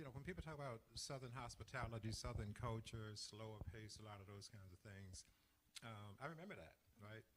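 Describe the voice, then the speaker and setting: A man speaks at a fairly quick pace with a medium pitch and ordinary pitch variation. His voice is somewhat breathy. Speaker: church deacon, interview host. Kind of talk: interview, telling life story. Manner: hesitant, many fillers.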